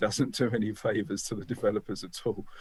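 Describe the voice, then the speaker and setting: A man with a British accent and a fairly low pitch. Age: 60s. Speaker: business founder. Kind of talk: podcast interview. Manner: halting, with many fillers and repeats.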